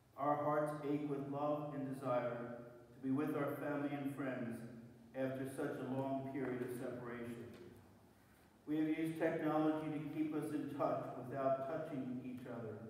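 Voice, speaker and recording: Heavy room echo surrounds a man talking at a moderate pace in a flat, monotone delivery. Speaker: prayer reader. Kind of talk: read prayer meditation. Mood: solemn, reflective. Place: church. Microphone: camera far.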